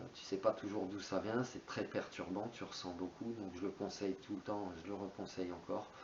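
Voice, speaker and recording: A man speaks at a fairly low pitch and moderate pace, somewhat breathy. His intonation is monotone and flat, with hardly any pauses. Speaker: spiritual YouTuber. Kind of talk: monologue on spirituality. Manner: hesitant, many fillers.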